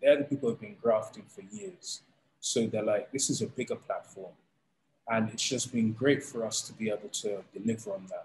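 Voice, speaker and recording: Speaking with a London accent, a man keeps a moderate pace while his loudness swings widely. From London, England. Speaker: combat sports league founder. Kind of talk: interview.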